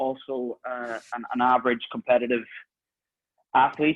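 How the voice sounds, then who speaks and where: Here a man talks with a strong Northern Irish accent. His voice sits at a medium pitch. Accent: thick Northern Irish. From Northern Ireland. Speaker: podcast host. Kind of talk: podcast interview.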